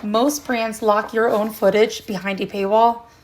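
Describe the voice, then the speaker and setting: With noticeable background noise, a woman talks fairly slowly at a fairly high pitch and with fairly even intonation. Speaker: product reviewer. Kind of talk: product review.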